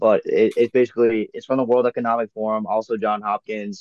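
At a moderate pace, an ordinary speaking voice talks with fairly even intonation. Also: man. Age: 30s. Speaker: podcast host. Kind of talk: casual chat.

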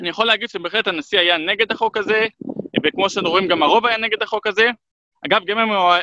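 A man's high, bright, sharp voice, raised and projected, at a very fast pace. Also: dry, close sound with no echo. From Israel, Jerusalem. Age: 30s. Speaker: human rights activist. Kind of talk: interview.

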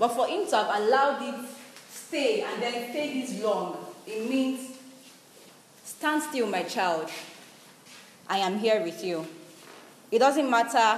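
Over noticeable background noise, a woman speaks at a very slow pace with long, frequent pauses. Her high-pitched voice has lively intonation. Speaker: radio preacher. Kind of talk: sermon. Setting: studio.

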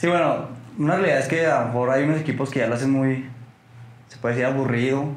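A man speaks at a moderate pace with a medium pitch and fairly even intonation, over noticeable background noise and audible room echo. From Mexico, Torreón (La Laguna). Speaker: football fan. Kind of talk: casual chat. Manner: halting.

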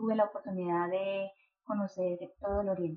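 A woman's voice, medium in pitch, moves along at a moderate pace. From New York, US (born Medellín, Colombia). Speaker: association founder. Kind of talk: interview.

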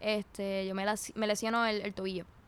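The voice is a woman's. It sits fairly high in pitch. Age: 20s. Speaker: footballer and psychology student. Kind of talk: interview.

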